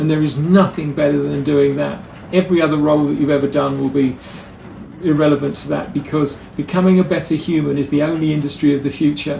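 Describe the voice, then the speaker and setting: With noticeable background noise behind him, a man talks fairly quickly in a fairly high voice. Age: 60s. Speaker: motivational speaker and educator. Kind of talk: presentation talk.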